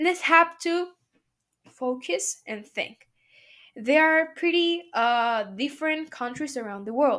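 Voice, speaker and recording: A woman with a Spanish accent speaks at a fairly slow pace with lively intonation, big swings in loudness and long, frequent pauses, in a very clean recording with a silent background. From Mexico. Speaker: student. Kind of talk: class presentation. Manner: halting.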